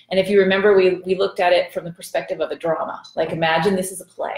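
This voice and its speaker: Audible room echo surrounds a woman speaking with fairly even intonation. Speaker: bible study teacher. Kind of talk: lecture. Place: kitchen. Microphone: camera far.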